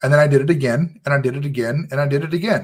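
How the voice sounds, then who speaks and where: In a very clean recording with a silent background, a man with a fairly high pitch speaks at a moderate pace in a passionate, animated tone. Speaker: online business coach. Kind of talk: livestream talk to camera. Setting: live stream to camera. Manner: loud, passionate.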